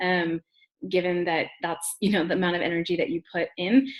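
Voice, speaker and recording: Medium pitch and a moderate pace from a woman, an unremarkable speaking voice. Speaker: branding trainer. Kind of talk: webinar training. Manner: casual, many fillers.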